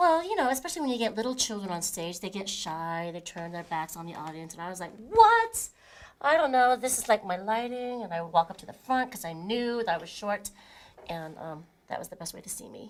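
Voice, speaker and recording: Amid noticeable background noise, a woman with an American accent speaks at a fairly quick pace with very wide pitch swings and big swings in loudness. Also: medium pitch for a woman. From Colorado. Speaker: stage actor. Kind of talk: casual chat.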